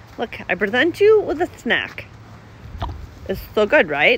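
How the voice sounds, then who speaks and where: The speech comes at a moderate pace with a dry sound and no echo, though noticeable background noise is present. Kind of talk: casual talk to animals. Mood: playful, affectionate. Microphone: phone near.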